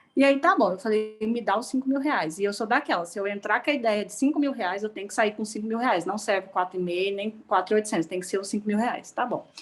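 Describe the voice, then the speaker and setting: A woman speaks very fast in a fairly high voice. Her pitch varies in an ordinary way. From Goiás, Brazil. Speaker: cooperative sector events and sponsorship professional. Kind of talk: online event participant comment. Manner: animated.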